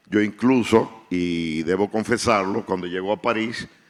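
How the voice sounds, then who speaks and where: Talking at a fairly slow pace, the man uses ordinary pitch variation. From Dominican Republic. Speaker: writer. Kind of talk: panel discussion.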